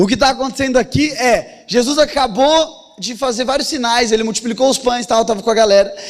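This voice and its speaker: Against noticeable background noise, a man speaks at an extremely high pitch with ordinary pitch variation. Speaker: pastor. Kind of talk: sermon. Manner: fast.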